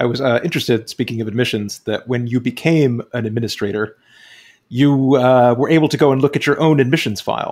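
On a very clean recording with a silent background, a man talks in a normal speaking voice at a fairly quick pace, medium in pitch with fairly even intonation. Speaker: podcast host and author. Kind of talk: interview questions.

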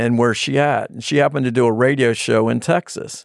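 This man has an unremarkable speaking voice with an American accent, medium pitch and fairly even intonation. He talks at a fairly quick pace in a very clean recording with a silent background. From Virginia, US. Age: 60s. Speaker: financial planner and business president. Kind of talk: casual interview chat.

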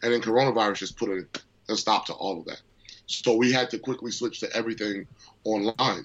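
A man with an ordinary speaking voice talks at a fairly quick pace. His pitch is medium and his intonation fairly even. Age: 30s. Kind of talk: interview.

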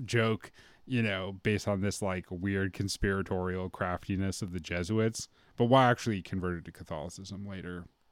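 A man with an American accent and a plain, everyday voice, fairly low in pitch with ordinary pitch variation, at a fairly quick pace on a very clean recording with a silent background. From US heartland. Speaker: podcast host and bass player. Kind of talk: casual chat. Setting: guest's home recording studio.

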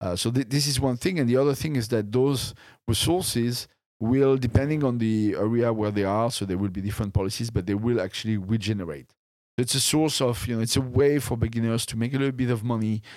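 A man at medium pitch talks at a very fast pace in a very clean recording with a silent background. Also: ordinary pitch variation. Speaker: game studio CEO and creative director. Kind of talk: casual interview. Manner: hesitant, halting.

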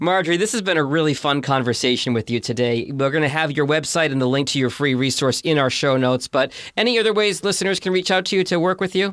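With an American accent, a man talks at a very fast pace with hardly any pauses and a fairly high pitch. His intonation is lively and his loudness very even. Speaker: podcast host and producer. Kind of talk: interview.

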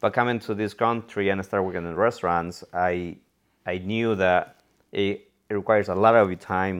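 A man with a Mexican accent, fairly low pitch and a moderate pace. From Mexico, Cuernavaca, Morelos. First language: Spanish. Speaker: real estate investor. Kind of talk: casual interview.

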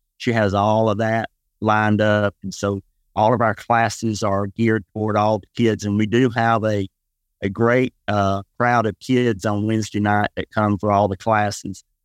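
In a Southern US accent, a man speaks at a fairly low pitch and a moderate pace with monotone, flat intonation, the sound dry and close with no echo against a quiet background. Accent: Southern US (Georgia). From US South, west Georgia. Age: 60s. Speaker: pastor. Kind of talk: casual interview.

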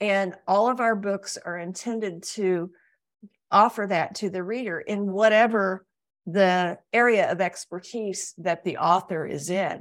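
A woman with an ordinary speaking voice, medium pitch, fairly even intonation and a fairly slow pace, on a very clean recording with a silent background. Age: 60s. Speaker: publisher and book coach. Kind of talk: interview.

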